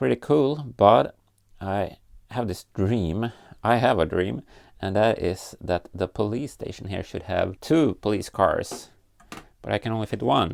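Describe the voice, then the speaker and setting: A man's fairly low, vocal-fry voice with lively intonation at a fairly slow pace, in a very clean recording with a silent background. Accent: Scandinavian. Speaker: LEGO builder and YouTuber. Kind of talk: casual vlog tutorial.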